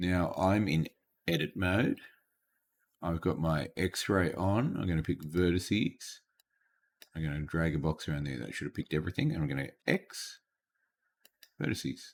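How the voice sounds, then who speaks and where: In a very clean recording with a silent background, a man with a very deep, low voice and vocal fry speaks at a moderate pace with ordinary pitch variation and long, frequent pauses. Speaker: teacher. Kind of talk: tutorial. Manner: halting.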